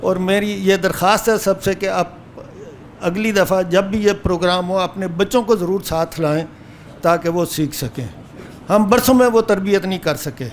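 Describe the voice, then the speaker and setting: A man's high voice with ordinary pitch variation, over noticeable background noise. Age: 70s. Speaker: course student. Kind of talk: speech at certificate ceremony.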